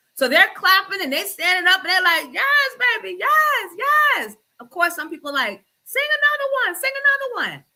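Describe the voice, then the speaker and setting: A woman's raised, projected voice at an extremely high pitch, bright and sharp, animated in tone, with very wide pitch swings. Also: moderate pace. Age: 40s. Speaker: radio host. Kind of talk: casual chat.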